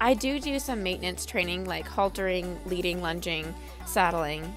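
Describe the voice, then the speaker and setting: With music in the background, this woman keeps a moderate pace. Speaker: mustang trainer. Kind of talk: video narration.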